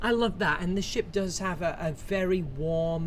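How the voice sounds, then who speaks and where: At a moderate pace, a woman with a fairly low pitch talks in an unremarkable speaking voice. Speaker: interview host. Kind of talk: interview questions.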